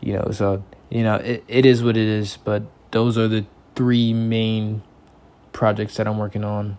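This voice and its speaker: A man with an American accent speaks in a fairly low, monotone, flat voice at a moderate pace, with long, frequent pauses. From Texas, Houston. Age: 30s. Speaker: independent music creator. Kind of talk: self-interview monologue. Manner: casual, halting with repetitions.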